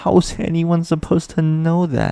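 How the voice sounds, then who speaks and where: A dark, mellow tone with a dry, close sound and no echo. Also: man. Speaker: gaming video creator. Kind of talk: game analysis narration. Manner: exasperated, ranting.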